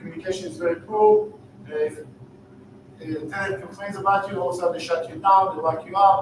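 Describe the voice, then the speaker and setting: A man with an Israeli accent and high pitch at a very fast pace, fairly even in intonation, with audible room echo and noticeable background noise. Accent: Israeli, lasting after thirty years. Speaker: real estate investor and startup founder. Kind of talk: sales pitch.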